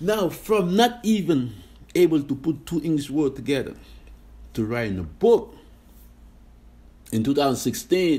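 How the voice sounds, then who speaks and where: Dark and mellow in tone, the somewhat breathy voice moves at a moderate pace through very wide pitch swings. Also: man. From Senegal. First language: French. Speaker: podcast host. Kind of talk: motivational talk. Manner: casual, many fillers.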